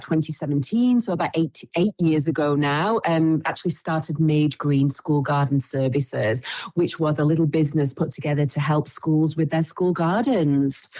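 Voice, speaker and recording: Against noticeable background noise, a woman with an English accent speaks at a moderate pace in a very deep, low voice with ordinary pitch variation. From England. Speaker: school garden educator. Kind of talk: casual chat.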